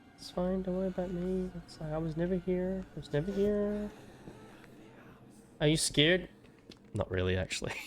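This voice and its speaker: A high-pitched man speaks at a moderate pace with fairly even intonation and long, frequent pauses. Noticeable background noise is present. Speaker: gaming streamer. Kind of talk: live gameplay commentary. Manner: speaking quietly at times.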